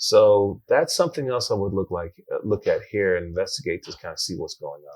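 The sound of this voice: A man's low-pitched, slightly mellow voice at a fairly quick pace, with lively intonation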